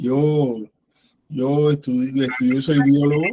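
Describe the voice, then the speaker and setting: Fairly high in pitch, this man's voice has a dark, mellow tone. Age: 60s. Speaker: biologist, former university lecturer, event participant. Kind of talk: discussion remarks at an online academic talk.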